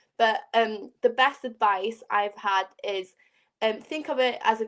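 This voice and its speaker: A woman speaks with a Welsh accent in a fairly high voice. The background is quiet. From Wales. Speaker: pageant queen. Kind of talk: casual chat.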